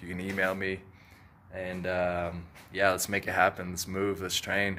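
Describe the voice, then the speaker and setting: Over light background noise, a man with a very deep, low pitch and a bright, sharp tone speaks at a moderate pace in a monotone, flat intonation. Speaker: jiu-jitsu coach. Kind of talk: casual vlog chat. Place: garage. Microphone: phone near.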